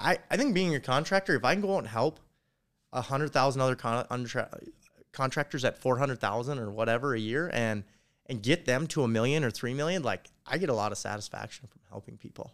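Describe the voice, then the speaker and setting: Talking at a very fast pace, a man uses lively intonation and big swings in loudness in a very clean recording with a silent background. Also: medium pitch for a man. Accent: American. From North Dakota. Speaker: construction company owner. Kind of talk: casual chat. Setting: hotel room in Las Vegas, drinking beer.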